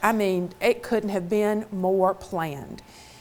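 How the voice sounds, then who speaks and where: A woman with a Mississippi accent speaks at a medium pitch and a fairly slow pace, with ordinary pitch variation. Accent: Southern (Mississippi). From Mississippi, US South. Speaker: motivational speaker. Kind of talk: keynote talk.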